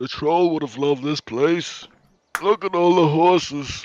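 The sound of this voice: A man puts on a character voice at a fairly high pitch, moving at a moderate pace.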